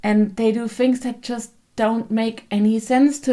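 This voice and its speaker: A woman with a German accent speaks at a fairly slow pace in a dark, mellow tone with fairly even intonation. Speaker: book vlogger. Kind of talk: casual book review.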